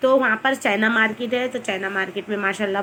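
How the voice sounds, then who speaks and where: A woman speaks at a moderate pace in a fairly high voice with fairly even intonation. Noticeable background noise is present. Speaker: vlogger. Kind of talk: casual chat. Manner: chatty, rambling.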